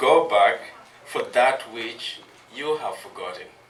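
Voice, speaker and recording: With noticeable background noise behind him, a man speaks at a very slow pace. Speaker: cultural educator. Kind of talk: talk to audience. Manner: soft-spoken.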